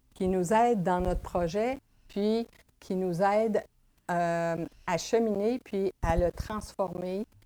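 A dark, mellow tone at a very slow pace with ordinary pitch variation. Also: woman. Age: 60s. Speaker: massage therapist. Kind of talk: interview testimony.

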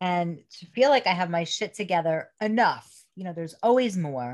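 At a fairly quick pace, a woman with a New York accent speaks with lively intonation in a very clean recording with a silent background. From Brooklyn, New York. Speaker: spiritual teacher and coach. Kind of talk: casual interview.

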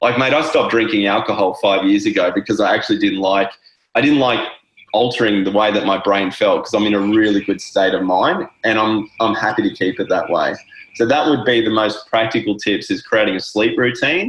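With an Australian accent, a man talks at a fairly quick pace and keeps his loudness very even. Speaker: wellness coach. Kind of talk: casual interview chat.

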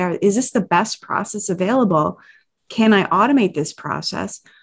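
Against a quiet background, a somewhat breathy woman speaks at a moderate pace in a medium pitch, with lively intonation. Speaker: podcast co-host. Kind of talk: casual interview.

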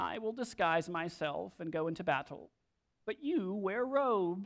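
Over a quiet background, a female-sounding put-on character voice with a whiny tone and middle pitch moves at a moderate pace.

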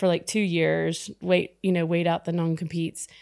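A woman with an American accent and a fairly low pitch, in a very clean recording with a silent background. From US South, Texas. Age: 50s. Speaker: startup founder. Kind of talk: casual interview.

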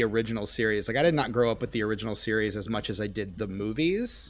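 A man with an American accent speaks very fast, with lively intonation. The recording is very clean, and the background is silent. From US Midwest. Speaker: podcast host, guest co-host. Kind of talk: casual chat. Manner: halting, many fillers and restarts.

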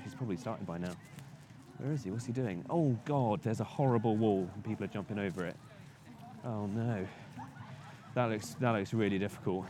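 A man with a British accent speaks at a fairly low pitch. His pace is fairly quick. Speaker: podcast co-host. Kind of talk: casual banter. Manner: playful, silly.

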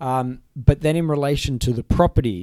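A man with an Australian accent talks at a moderate pace with ordinary pitch variation. The recording is very clean, with a silent background. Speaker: lawyer and podcast host. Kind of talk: casual explanatory chat.

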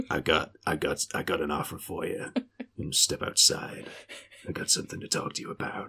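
A man performs a raspy, put-on character voice. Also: moderate pace. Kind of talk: tough, gangster-like. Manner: menacing, coaxing, threatening.

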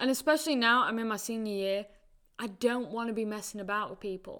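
A bright, sharp tone with a northern English accent comes through at a moderate pace and fairly even intonation. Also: woman. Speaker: college soccer player. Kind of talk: casual chat.

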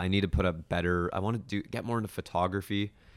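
A man with a Toronto accent at a very fast pace, in a very clean recording with a silent background. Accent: Canadian (Toronto). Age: 20s. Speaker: youtuber and videographer. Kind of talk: casual interview. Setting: indoors with city view.

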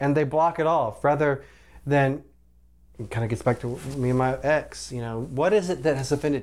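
At a moderate pace, a man talks in an unremarkable speaking voice pitched fairly high, its pitch varying in an ordinary way. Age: 40s. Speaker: doctor, podcast guest. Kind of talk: casual chat.

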